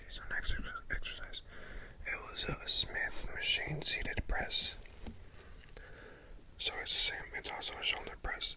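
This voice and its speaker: Noticeable background noise fills the recording. The talking proceeds fairly slowly. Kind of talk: ASMR whispered talk about a gym workout. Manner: whispered, soft-spoken.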